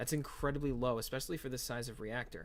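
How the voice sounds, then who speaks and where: Fairly even intonation marks this man's medium-pitched voice. His pace is fairly quick. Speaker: gaming video creator. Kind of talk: gameplay tutorial. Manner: fast; casual, filler-heavy.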